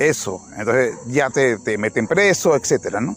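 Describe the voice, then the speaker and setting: Behind the speaker, music is playing. His voice, a man's, holds a medium pitch. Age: 60s. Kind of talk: religious reflection monologue. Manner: halting, with frequent restarts.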